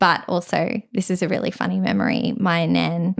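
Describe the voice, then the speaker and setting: The recording is very clean with a silent background. The speaker has an Australian accent and vocal fry. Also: woman. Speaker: podcast co-host. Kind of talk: casual chat. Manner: animated.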